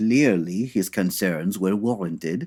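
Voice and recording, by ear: Slow and slightly mellow with a slightly husky edge, a put-on character voice moves through ordinary pitch variation. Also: man, low pitch for a man.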